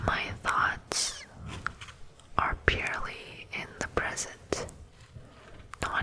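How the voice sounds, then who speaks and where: Over noticeable background noise, a woman whispers very slowly. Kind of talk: ASMR poetry reading. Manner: whispered, soft-spoken.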